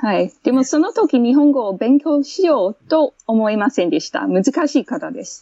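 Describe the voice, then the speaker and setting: A woman speaks at a high pitch with very wide pitch swings. Her loudness swings widely too. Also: moderate pace. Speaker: English teacher. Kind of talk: casual interview chat.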